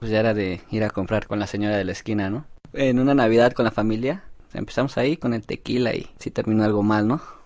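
Delivered at a very fast pace, this man's voice sits fairly low. His intonation stays fairly even. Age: 19. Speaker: laborer. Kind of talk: testimony.

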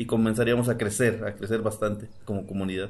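Over music in the background and with audible room echo, a man speaks at a moderate pace with fairly even intonation. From Mexico, Morelos (Xoxocotla). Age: 40s. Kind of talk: recorded statement.

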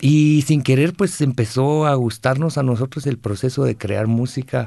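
A man's dark, mellow voice in a Guatemalan accent, medium in pitch with ordinary pitch variation, at a fairly slow pace against a quiet background. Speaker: singer-songwriter. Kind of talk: interview. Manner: halting.

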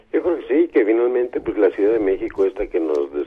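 A man is talking. There is noticeable background noise. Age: 50s. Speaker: writer and radio co-host. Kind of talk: radio talk show.

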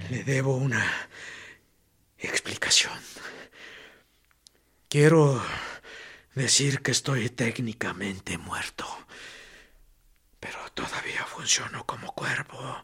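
Using a raspy put-on character voice, the speaker talks at a fairly slow pace with long, frequent pauses. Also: man, medium pitch for a man. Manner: ironic, mocking, strangely serene.

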